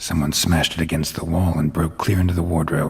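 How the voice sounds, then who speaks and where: A man's put-on character voice, very deep and low in pitch, monotone and flat, at a fairly quick pace. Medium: video game. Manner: terse, clipped, deadpan.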